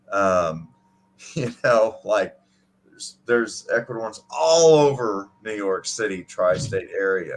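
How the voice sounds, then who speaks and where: Speaking at a very slow pace, a man with a medium-pitched voice uses lively intonation and big swings in loudness. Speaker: podcast host. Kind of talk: casual chat. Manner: halting, many fillers.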